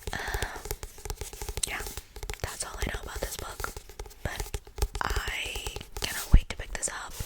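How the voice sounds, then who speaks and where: A woman whispers. Background noise is noticeable. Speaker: ASMR creator. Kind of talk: ASMR book haul, casual talk to camera.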